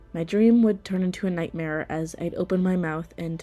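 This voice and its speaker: A woman with an American accent, fairly low in pitch, at a moderate pace, with music in the background. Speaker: theater student. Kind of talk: personal podcast narration.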